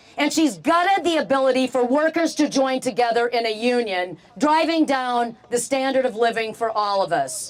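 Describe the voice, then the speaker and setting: A woman with a high pitch, an animated tone and lively intonation, at a moderate pace against noticeable background noise. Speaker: political candidate. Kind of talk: campaign rally speech.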